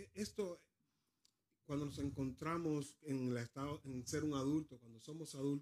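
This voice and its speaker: A man with a fairly high-pitched voice speaks at a fairly slow pace, his loudness swinging widely. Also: ordinary pitch variation. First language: Spanish (speaking Danish). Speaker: preacher. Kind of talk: sermon.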